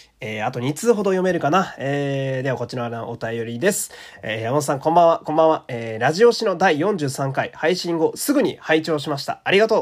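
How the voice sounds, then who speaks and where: Hardly pausing, a man talks at a fairly quick pace with lively intonation and a fairly high pitch. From Japan, Fukui. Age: 30s. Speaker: podcaster. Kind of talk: casual chat with listener mail.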